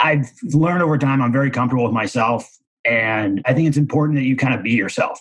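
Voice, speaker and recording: With a Midwestern American accent, a man speaks at a fairly quick pace and fairly high pitch, his intonation lively. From Missouri, near St. Louis. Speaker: commercial real estate broker. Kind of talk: casual interview.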